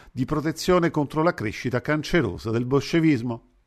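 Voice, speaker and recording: A man with a normal speaking voice talks at a fairly quick pace with lively intonation. The background is quiet. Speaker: radio host. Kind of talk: reading aloud a literary essay in a formal, solemn delivery. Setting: radio broadcast. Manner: formal; measured, declamatory.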